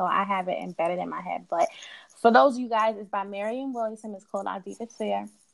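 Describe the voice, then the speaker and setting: Using a plain, everyday voice, a woman of medium pitch speaks with an American accent and ordinary pitch variation. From New York (Queens) and Delaware. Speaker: research analyst. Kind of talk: casual chat.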